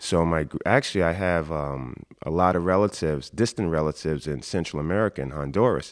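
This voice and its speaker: Here a man speaks with a very deep, low pitch. His pace is moderate and his pitch variation ordinary. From US Northeast, New York City (Jamaica, Queens). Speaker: guest sharing life story. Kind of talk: interview, personal storytelling. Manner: conversational, many fillers.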